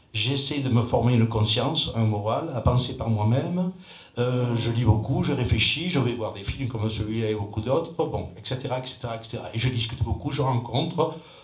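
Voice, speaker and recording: Medium-pitched male speech at a fairly quick pace, ordinary pitch variation, audible room echo, and noticeable background noise. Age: 70s. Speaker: audience member. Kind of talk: debate.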